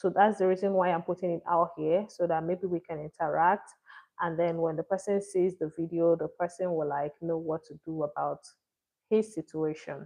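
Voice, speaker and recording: A woman's fairly low-pitched voice, monotone and flat in intonation, at a moderate pace. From Nigeria. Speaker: live-stream storyteller. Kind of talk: casual live-stream chat. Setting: live stream. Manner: not very loud; hesitant, with fillers.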